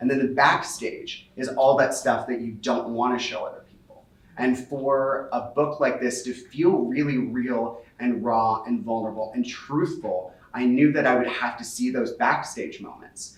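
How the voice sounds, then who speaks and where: With an American accent and fairly even intonation, a man talks with hardly any pauses and big swings in loudness over noticeable background noise. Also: medium pitch for a man. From US Midwest, Cincinnati. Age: 30s. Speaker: author. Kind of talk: book talk conversation. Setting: in-person event with audience. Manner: fast.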